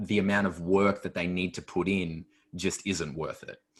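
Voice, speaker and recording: Speaking with an Australian accent, a man uses a fairly low pitch and fairly even intonation. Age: 20s. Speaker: natural bodybuilder. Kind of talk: podcast interview answer. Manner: casual, reflective.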